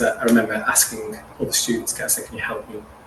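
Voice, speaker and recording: A man's voice amid noticeable background noise. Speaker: actor and singer. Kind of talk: interview answer.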